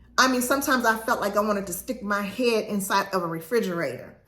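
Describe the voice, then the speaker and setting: Woman's animated, bright, sharp tone at a moderate pace, ordinary pitch variation, audible room echo. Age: 60s. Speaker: lifestyle vlogger. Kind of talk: casual talk to camera.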